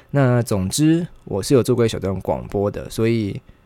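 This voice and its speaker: A man is speaking. His tone is dark and mellow. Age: 20s. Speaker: podcast host, university student. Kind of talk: casual solo monologue.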